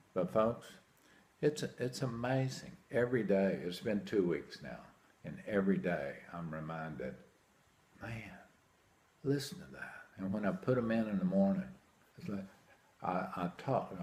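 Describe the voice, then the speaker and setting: Speaking at a fairly slow pace with long, frequent pauses, a man keeps his intonation lively. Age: 60s. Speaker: hearing aid patient. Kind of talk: testimonial. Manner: animated.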